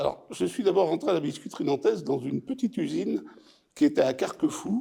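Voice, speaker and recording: Moving at a fairly quick pace, a man speaks in a high pitch with very wide pitch swings. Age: 70s. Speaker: retired factory worker. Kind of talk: oral history interview. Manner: halting.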